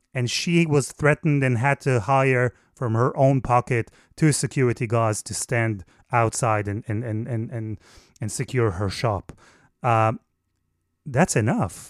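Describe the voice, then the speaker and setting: With an Israeli accent and ordinary pitch variation, the voice sounds dry and close, with no echo. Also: man, very clean recording, silent background. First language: Hebrew. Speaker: foreign correspondent journalist. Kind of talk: interview. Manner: halting with frequent repetitions.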